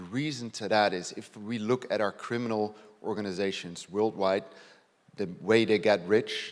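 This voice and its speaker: A man with a Dutch accent speaks at a moderate pace with a fairly low pitch. The recording is very clean, with a silent background. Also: fairly even intonation. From Netherlands. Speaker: police detective inspector. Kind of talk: conference presentation. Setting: stage with audience.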